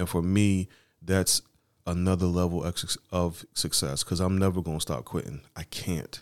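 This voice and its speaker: The recording is very clean, and the background is silent. The man's voice sits very deep and low in pitch. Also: fairly even intonation, moderate pace, dry, close sound with no echo. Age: 30s. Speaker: podcast co-host. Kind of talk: casual chat.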